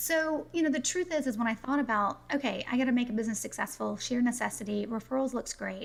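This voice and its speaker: A woman talks at a very fast pace with hardly any pauses, in a high pitch and an American accent. Her intonation is lively. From US South, South Carolina. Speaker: business referral consultant. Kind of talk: podcast interview.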